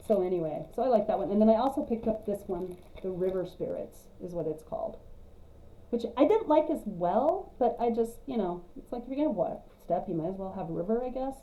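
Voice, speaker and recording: Speaking at a fairly quick pace with an American accent, a woman uses a fairly high pitch with very wide swings. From West Texas (high plains). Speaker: cross-stitch vlogger. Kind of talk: casual vlog monologue.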